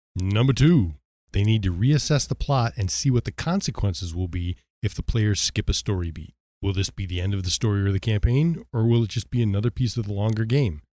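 A man's somewhat breathy, dark, mellow voice at a fairly quick pace, with lively intonation, on a very clean recording with a silent background. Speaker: podcast co-host. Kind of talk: casual chat about tabletop gaming. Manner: joking, teasing.

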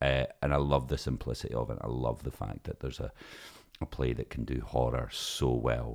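A man with a Scottish accent speaks at a moderate pace, his very deep voice held in a flat monotone. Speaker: stage actor. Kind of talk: casual chat.

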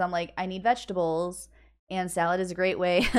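An ordinary speaking voice with an American accent at a fairly quick pace, on a very clean recording with a silent background. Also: woman.

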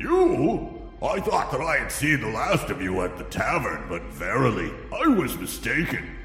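A man in a put-on character voice, with clear music in the background and clear echo. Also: moderate pace. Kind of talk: comic fantasy audio drama. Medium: audio drama. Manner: blunt, comically defensive.

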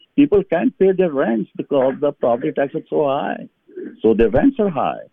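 Someone with a Pakistani accent speaks at a fairly slow pace, the pitch swinging very widely. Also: man. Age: 70s. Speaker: city council candidate. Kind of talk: interview. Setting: phone call. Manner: halting.

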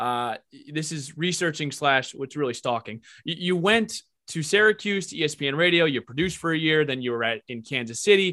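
This man has a normal speaking voice, fairly high in pitch, with lively intonation. He goes at a fairly quick pace, and the sound is dry and close with no echo. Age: 20s. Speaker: podcast host. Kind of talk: interview; podcast intro.

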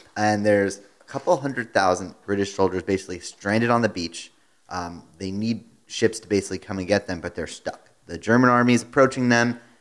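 Speaking in a normal speaking voice, a man with a fairly low pitch keeps a fairly quick pace with hardly any pauses, ordinary pitch variation and big swings in loudness. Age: 30s. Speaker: podcast co-host. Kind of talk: casual chat. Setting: studio.

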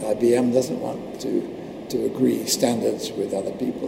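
Noticeable background noise under a man's moderately paced speech. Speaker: computer networking engineer. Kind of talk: interview.

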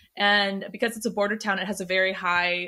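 In a very clean recording with a silent background, a woman with an American accent speaks at a medium pitch in a monotone, flat intonation, her tone bright and sharp. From Texas. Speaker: body-positivity influencer. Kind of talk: interview.

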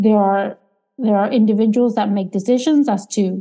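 A woman talks at a moderate pace with a dark, mellow, somewhat breathy tone at medium pitch and fairly even intonation. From Argentina. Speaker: economics professor. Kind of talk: interview.

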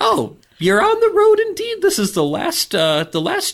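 Using a put-on character voice, a man talks rather slowly. His pitch is pushed extremely high. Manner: acted, sly.

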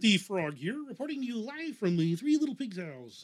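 Using a put-on character voice, a man speaks high in pitch with very wide pitch swings at a moderate pace.

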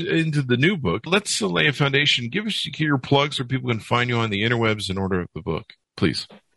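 This man's bright, sharp voice moves at a fairly quick pace with hardly any pauses, in a dry, close sound with no echo. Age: 50s. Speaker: podcast host. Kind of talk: interview. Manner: animated.

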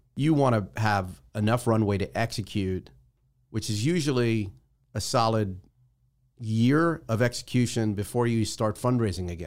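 In an unremarkable speaking voice with an American accent, a man talks at a moderate pace and medium pitch with ordinary pitch variation, on a very clean recording with a silent background. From New Jersey. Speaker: startup investor and founder. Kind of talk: interview. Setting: studio.

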